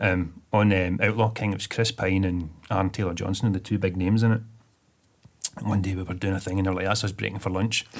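Delivered at a very fast pace, a man's very deep, low voice stays monotone and flat. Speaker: web designer and film extra. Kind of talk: casual chat.

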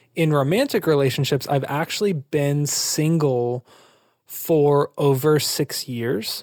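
Delivered at a very slow pace with very even loudness and ordinary pitch variation, the voice has a dry, close sound with no echo. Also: man, fairly high pitch for a man. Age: 20s. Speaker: mental health advocate and startup founder. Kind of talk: interview. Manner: casual, conversational.

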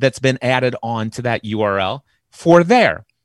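Against a quiet background, a man speaks in an animated tone with ordinary pitch variation. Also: dry, close sound with no echo. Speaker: mindset coach. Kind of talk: interview. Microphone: close-miked dynamic mic with noise gate.

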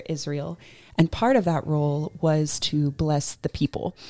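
Heard on a very clean recording with a silent background, a woman with a normal speaking voice talks in an American accent at a fairly low pitch. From US South, Georgia. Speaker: church member, expectant mother. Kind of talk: casual chat.

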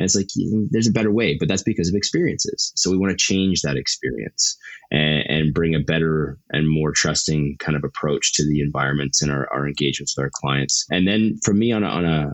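A man with a western Canadian accent has a very deep, low pitch and ordinary pitch variation. He talks at a fairly quick pace with very even loudness. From Canada, Calgary, Alberta. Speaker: startup executive. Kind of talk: interview. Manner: talkative.

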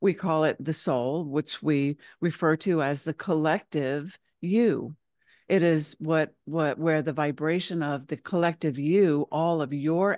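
A woman speaks fairly slowly in a very deep, low voice. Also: quiet background. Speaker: spiritual channel and teacher. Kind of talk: casual interview chat.

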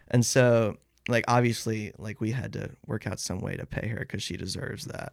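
With an American accent, a man speaks in a normal speaking voice at medium pitch and a moderate pace, his intonation fairly even. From Athens, Georgia, US. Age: 20s. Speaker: band singer and guitarist. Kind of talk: casual interview chat.

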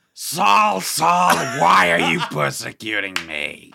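In a put-on character voice, a man speaks very slowly, raspy and fairly low in pitch. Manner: solemn, commanding.

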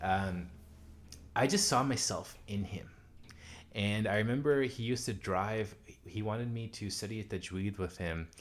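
At a moderate pace, a man with an American accent uses a plain, everyday voice, pitched fairly low with ordinary pitch variation. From US South, Pine Bluff, Arkansas. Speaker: Quran teacher and prayer leader. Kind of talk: interview. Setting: home living room.

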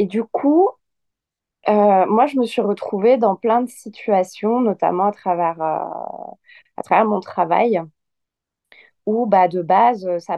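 A woman of medium pitch speaks at a very slow pace with ordinary pitch variation. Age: 30s. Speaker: yoga teacher. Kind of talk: casual chat.

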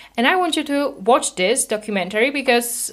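Her accent is non-native. The woman's intonation rises and falls in a lively way. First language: not English. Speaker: podcast host and binge eating coach. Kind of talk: solo educational podcast monologue. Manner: hesitant with filler words and repetitions.

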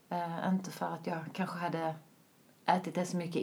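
A woman speaks in a monotone with flat intonation. Noticeable background noise runs underneath. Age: 30s. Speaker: vegan lifestyle influencer. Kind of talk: casual interview.

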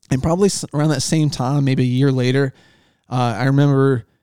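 A man with a Southern US accent speaks at a fairly quick pace in a dark, mellow tone. His medium pitch holds fairly even intonation, and the sound is dry and close with no echo. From US South. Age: 40s. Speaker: fishing guide. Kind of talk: casual chat. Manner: halting.

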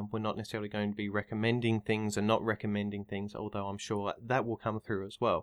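In an Australian accent, a man with a fairly low pitch talks at a very fast pace with hardly any pauses and monotone, flat intonation, in a dry, close sound with no echo on a very clean recording with a silent background. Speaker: clinical psychologist and podcaster. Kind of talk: casual discussion. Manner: halting.

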